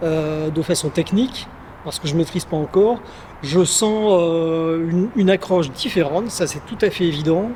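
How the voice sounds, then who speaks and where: Against noticeable background noise, a man talks at a moderate pace in a high pitch with ordinary pitch variation. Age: 60s. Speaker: beginner RC car hobbyist. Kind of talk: casual interview.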